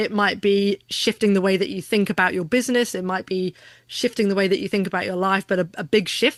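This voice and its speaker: A woman with an English accent talks at a fairly quick pace and a medium pitch. The sound is dry and close with no echo, over a quiet background. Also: fairly even intonation. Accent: English, still pretty pure. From southern England, Hampshire (Aldershot, Odiham). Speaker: business coach and keynote speaker. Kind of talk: casual interview chat.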